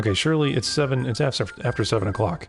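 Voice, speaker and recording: A man at a very fast pace, intonation lively, music in the background. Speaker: gaming streamer. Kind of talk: casual livestream talk to camera. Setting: living room livestream. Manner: soft-spoken, dry humor.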